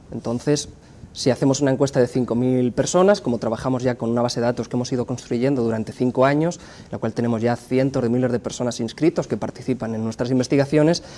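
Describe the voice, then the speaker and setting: A man talks at a very fast pace. He has a Spanish accent. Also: medium pitch for a man, ordinary pitch variation. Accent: Spanish (Spain). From Spain. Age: 30s. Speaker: pollster and communication professor. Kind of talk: interview.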